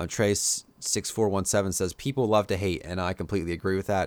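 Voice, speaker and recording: On a very clean recording with a silent background, a man with an American accent talks at a fairly quick pace in a fairly low voice with ordinary pitch variation. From Pennsylvania, US. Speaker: YouTube podcaster and tech vlogger. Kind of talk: casual solo podcast. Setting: solo recording for YouTube. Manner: casual, filler-heavy, chatty.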